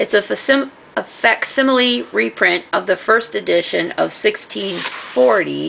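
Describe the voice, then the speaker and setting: A woman talks with hardly any pauses. Noticeable background noise can be heard. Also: fairly slow pace. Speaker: craft and book-haul vlogger. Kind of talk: casual show-and-tell vlog. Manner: loud; casual, hesitant with fillers.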